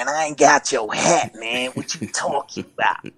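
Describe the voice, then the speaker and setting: In a put-on character voice, a man speaks raspily at a moderate pace with a fairly high pitch. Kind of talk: casual street vernacular. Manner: feigned innocence, defensive.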